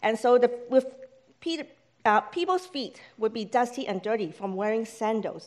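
A woman's high-pitched voice with a non-native accent. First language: not English. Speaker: church staff member, lay preacher. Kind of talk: sermon. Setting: church service with congregation.

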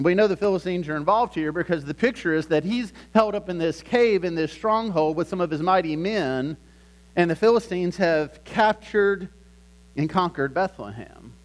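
Ordinary pitch variation at a fairly quick pace. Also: man, high pitch for a man. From US South, Lynchburg, Virginia. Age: 40s. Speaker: pastor. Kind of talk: sermon. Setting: church.

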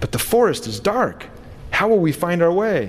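A man puts on a high-pitched character voice over light background noise. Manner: frightened.

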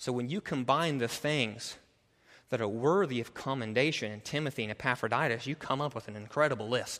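At a fairly quick pace, a man talks in a normal speaking voice at medium pitch with ordinary pitch variation. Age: 30s. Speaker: pastor. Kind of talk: sermon. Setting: church.

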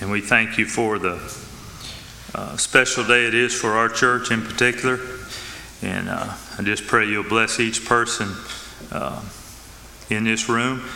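A man with a Southern US accent and a medium pitch speaks at a fairly slow pace in a flat monotone, with long, frequent pauses. Noticeable background noise is present. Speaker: church leader giving announcements. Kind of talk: church announcements. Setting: church. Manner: halting.

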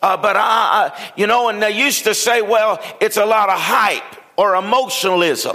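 With a raised, projected voice, a man calls out at a high pitch. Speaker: pastor. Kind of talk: sermon. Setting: church.

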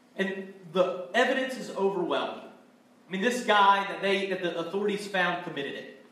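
The voice reads aloud naturally. Pitch variation is ordinary.

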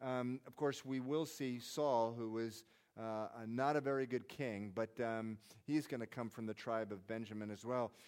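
At a moderate pace, a man talks in a plain, everyday voice at medium pitch with fairly even intonation. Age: 50s. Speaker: pastor. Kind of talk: sermon.

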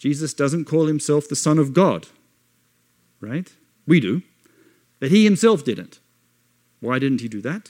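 In an Australian accent, a man speaks at a fairly slow pace with fairly high pitch, lively intonation and long, frequent pauses, the sound dry and close with no echo. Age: 40s. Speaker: missionary. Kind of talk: sermon.

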